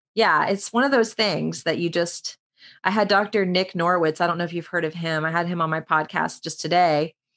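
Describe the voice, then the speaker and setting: At a fairly quick pace, a woman speaks in a normal speaking voice, fairly low in pitch with ordinary pitch variation, on a very clean recording with a silent background. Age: 40s. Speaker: yoga instructor. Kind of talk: casual chat.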